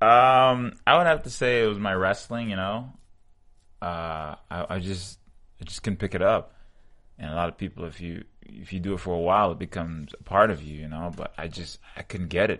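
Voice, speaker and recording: This man has a very deep, low pitch and a bright, sharp tone, with ordinary pitch variation. He talks at a moderate pace with big swings in loudness over a quiet background. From Jamaica, moved to New York at 13. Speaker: mixed martial arts fighter. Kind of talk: interview. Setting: studio.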